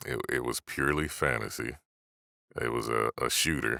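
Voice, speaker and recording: The voice has a bright, sharp tone with vocal fry and fairly even intonation. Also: man. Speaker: voice actor. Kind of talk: interview answers.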